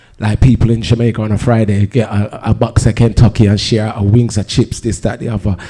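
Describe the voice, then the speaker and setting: Over noticeable background noise, a man with a fairly low pitch talks at a fairly quick pace in a monotone, flat intonation with hardly any pauses. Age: 50s. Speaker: DJ and music producer. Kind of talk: panel discussion.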